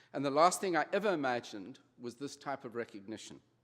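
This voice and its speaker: A man with a South African accent, lively intonation, and a fairly quick pace. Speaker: honorary degree recipient, retail executive. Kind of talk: convocation speech. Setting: graduation ceremony with audience.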